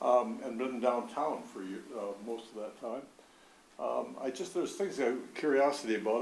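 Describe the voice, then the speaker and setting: Amid audible room echo and noticeable background noise, a man with an American accent and medium pitch talks at a fairly quick pace with ordinary pitch variation. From Rochester, Michigan. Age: 80s+. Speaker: resident making public comment. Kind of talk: public comment. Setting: council chamber podium. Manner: halting.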